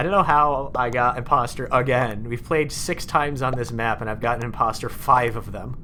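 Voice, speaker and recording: Noticeable background noise and audible room echo surround a man's voice. He talks at a medium pitch with ordinary variation and a fairly quick pace. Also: hardly any pauses. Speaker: game streamer. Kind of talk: live stream gaming chat. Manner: fast; casual, halting.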